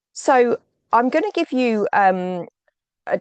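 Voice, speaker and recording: A woman with lively intonation, a dry, close sound with no echo and a quiet background. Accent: British. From UK. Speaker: oversight expert, inquiry chair. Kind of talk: webinar presentation. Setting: video webinar. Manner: hesitant, many ums.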